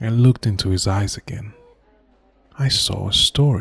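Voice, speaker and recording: A man speaks in a somewhat breathy voice. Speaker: voice actor. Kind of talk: audio story narration. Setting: studio. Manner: slow, somber.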